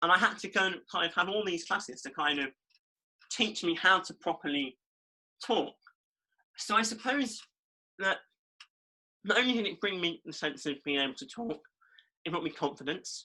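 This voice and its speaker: A man's high-pitched voice with an East Midlands accent, bright and sharp in tone, lively in intonation, at a moderate pace with long, frequent pauses. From East Midlands, England. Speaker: podcast co-host. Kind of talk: casual chat.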